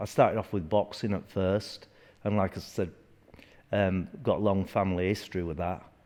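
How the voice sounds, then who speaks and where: Here a man speaks with a Yorkshire accent at a moderate pace. His fairly low voice has a dark, mellow tone and ordinary pitch variation. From northern England, Leeds, Yorkshire. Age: 60s. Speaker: martial arts instructor. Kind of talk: interview. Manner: halting.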